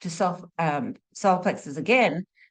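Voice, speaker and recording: A woman's lively intonation against a quiet background. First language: not English (English her third language). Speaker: spiritual teacher, medical intuitive. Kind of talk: monologue teaching talk. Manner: casual, chatty with fillers.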